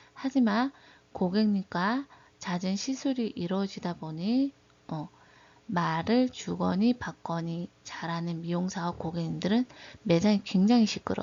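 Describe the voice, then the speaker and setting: Her voice somewhat breathy, a woman speaks at a medium pitch with ordinary pitch variation. She keeps a fairly slow pace. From Daegu, South Korea. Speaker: beauty/hairdressing instructor. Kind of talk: lecture.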